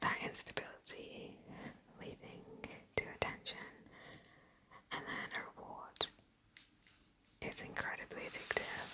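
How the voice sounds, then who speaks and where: A woman whispers at a fairly slow pace with long, frequent pauses. Her loudness swings widely against noticeable background noise. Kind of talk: ASMR whisper ramble, casual personal talk. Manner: whispered, soft-spoken.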